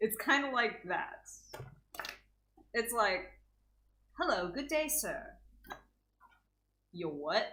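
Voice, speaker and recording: A woman with an American accent talks at a very slow pace, leaving long, frequent pauses, her high voice bright and sharp with very wide pitch swings. Audible room echo surrounds her. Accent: Texan accent, thick at times. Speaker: co-host. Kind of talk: casual chat.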